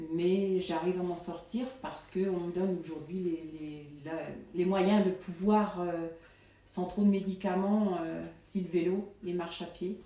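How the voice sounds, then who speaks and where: With audible room echo and noticeable background noise, a woman speaks at a very slow pace in a fairly low pitch with fairly even intonation. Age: 50s. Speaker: supermarket worker. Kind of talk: interview testimony. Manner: halting, many hesitations.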